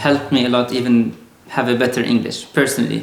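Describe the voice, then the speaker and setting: Over noticeable background noise and audible room echo, a man with a medium-pitched voice talks at a fairly quick pace. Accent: Arabic. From Lebanon. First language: Arabic. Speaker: software engineer. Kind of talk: casual interview conversation. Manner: halting, with repeated words.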